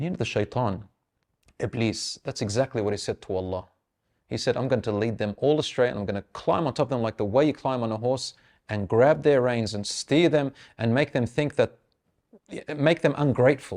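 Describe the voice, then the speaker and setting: A man speaks at a medium pitch in a plain, everyday voice. His pitch varies in an ordinary way against a quiet background. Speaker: Islamic speaker giving a reminder lecture. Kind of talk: Islamic lecture / religious reminder. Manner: conversational, casual talk to camera.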